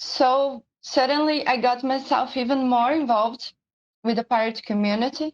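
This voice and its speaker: A woman with a Portuguese accent and a high pitch, moderate pace, fairly even intonation, very even loudness, and a dry, close sound with no echo. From Brazil. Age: 20s. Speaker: pirate community leader. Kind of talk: personal testimony presentation. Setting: live-streamed online symposium.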